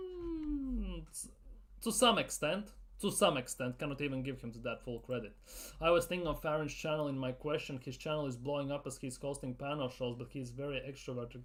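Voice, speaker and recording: A man with a non-native accent talks fairly quickly at a fairly high pitch, with ordinary pitch variation. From Latvia. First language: not English. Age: 30s. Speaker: football YouTuber. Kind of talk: live Q&A stream. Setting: live stream. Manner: casual, repetitive.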